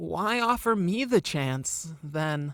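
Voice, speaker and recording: A put-on character voice at a middle pitch, in a very clean recording with a silent background. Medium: audio drama. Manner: curious, earnest.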